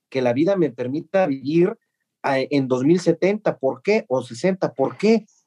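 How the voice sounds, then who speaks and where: Recorded in a dry, close sound with no echo, a man with high pitch and a dark, mellow tone uses lively intonation. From Mexico. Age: 30s. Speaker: podcast host, historian. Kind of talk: casual interview.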